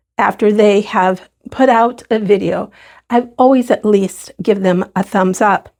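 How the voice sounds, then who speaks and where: Fairly slow, fairly even speech at a very even loudness. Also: woman, medium pitch for a woman. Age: 60s. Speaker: sewing channel host. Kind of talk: casual chat to camera. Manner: halting, repetitive.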